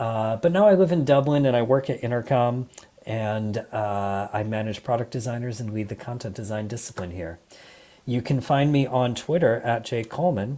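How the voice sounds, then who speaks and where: With an American accent, the voice has a dark, mellow tone, ordinary pitch variation and a moderate pace. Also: man, medium pitch for a man. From US Midwest, Michigan. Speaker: design leader, conference speaker. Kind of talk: conference talk.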